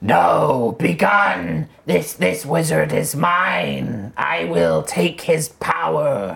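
A raspy, low-pitched put-on character voice. It moves at a very slow pace with hardly any pauses. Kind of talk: comic fantasy roleplay. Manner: dramatic, mournful, apologetic.

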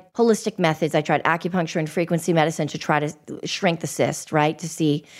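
Over a silent background on a very clean recording, a woman with an American accent talks at a fairly quick pace. Hers is an unremarkable speaking voice with fairly low pitch. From Boston. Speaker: podcast host. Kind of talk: interview.

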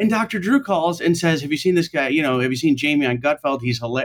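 Here a man talks at a very fast pace. He has a fairly high pitch and an American accent. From upstate New York. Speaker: comedian. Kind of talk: casual chat.

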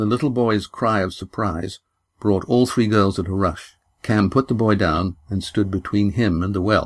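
In a quiet setting, someone reads aloud plainly.

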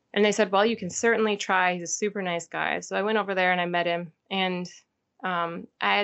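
At a fairly quick pace, a woman speaks in an ordinary speaking voice of medium pitch with fairly even intonation. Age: 30s. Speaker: hunter. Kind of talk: casual chat.

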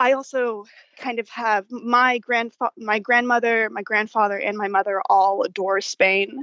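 With an American accent, a woman talks at a moderate pace in a normal speaking voice, her pitch fairly high and her intonation fairly even. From Dallas, Texas. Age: 20s. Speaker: listener. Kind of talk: casual chat. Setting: phone call.

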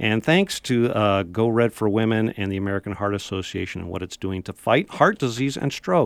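This man has a fairly low voice and talks at a moderate pace in an ordinary speaking voice, recorded with a dry, close sound with no echo. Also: ordinary pitch variation, hardly any pauses. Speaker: radio host. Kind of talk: radio interview. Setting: studio.

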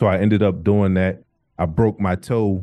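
Over a quiet background, a man with an American accent speaks at a very deep, low pitch. His moderate pace carries a monotone, flat intonation. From Wilmington, Delaware, US. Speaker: former NFL player. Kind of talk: interview.

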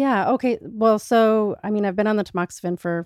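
A woman with an unremarkable speaking voice, fairly even intonation and a moderate pace, in dry, close sound with no echo against a quiet background. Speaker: breast cancer survivor. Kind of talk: casual chat.

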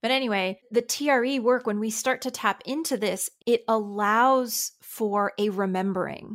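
On a very clean recording with a silent background, a woman speaks at a moderate pace and fairly high pitch, with ordinary pitch variation and hardly any pauses. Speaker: nervous system and trauma release expert. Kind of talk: casual interview chat.

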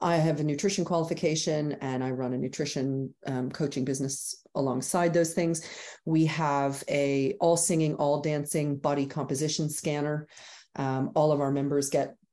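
A dark, mellow tone with fairly even intonation. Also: woman. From Canada. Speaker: gym owner. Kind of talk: interview.

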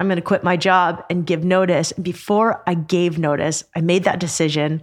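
This woman speaks at a fairly low pitch. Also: very clean recording, silent background. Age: 40s. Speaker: author and adventure podcast host. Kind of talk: casual chat. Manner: animated.

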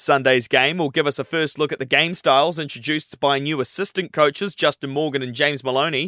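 In an Australian accent, a man with a fairly high, bright and sharp voice talks very fast with fairly even intonation, the sound dry and close with no echo. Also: hardly any pauses. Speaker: radio news reader. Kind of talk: radio news bulletin reading, brisk and formal, steady even delivery. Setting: studio. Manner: brisk; formal.

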